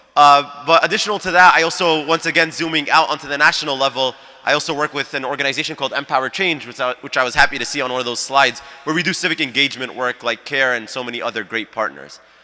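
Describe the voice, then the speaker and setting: Noticeable background noise sits behind a man who talks at a very fast pace, his fairly high pitch varying in an ordinary way. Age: 20s. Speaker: youth ambassador and community organizer. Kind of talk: panel talk.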